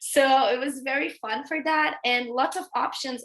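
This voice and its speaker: Speaking at a moderate pace with a Brazilian accent, a woman uses a bright, sharp tone and ordinary pitch variation. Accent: Brazilian accent in English, noticeable. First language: Portuguese. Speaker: veterinary pathology researcher. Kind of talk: interview in a webinar. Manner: halting, many fillers.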